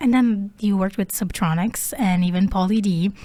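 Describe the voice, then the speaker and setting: A woman speaks with an Italian accent at medium pitch. Her voice is somewhat breathy, with ordinary pitch variation. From Italy. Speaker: podcast host and musician. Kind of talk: interview. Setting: studio.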